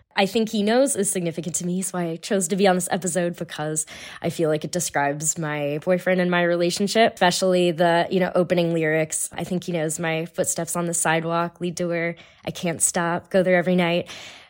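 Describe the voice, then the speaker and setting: Speaking in an ordinary speaking voice with an American accent, a woman keeps a fairly low pitch, fairly even intonation and a fairly quick pace in a very clean recording with a silent background. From California. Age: 20s. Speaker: lab manager, listener guest. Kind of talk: casual interview chat.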